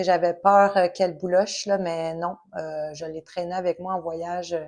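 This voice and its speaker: A woman's fairly slow speech in a Quebec accent. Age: 40s. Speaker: knitting podcaster. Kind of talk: casual vlog monologue. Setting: home recording, sun in her eyes. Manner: hesitant, many fillers.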